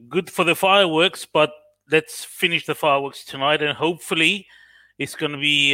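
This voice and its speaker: A bright, sharp tone with a slight Australian accent, fairly quick pace and ordinary pitch variation, in a dry, close sound with no echo on a very clean recording with a silent background. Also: man. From Cyprus. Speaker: guest fan joining a live football podcast. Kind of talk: casual conversational.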